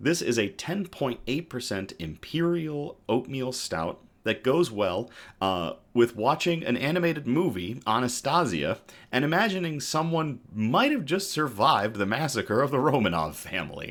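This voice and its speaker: There's vocal fry in this man's medium-pitched voice. He speaks fairly slowly, and his pitch swings very widely. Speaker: good news livestream host. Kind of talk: casual livestream news chat. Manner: casual, halting with fillers.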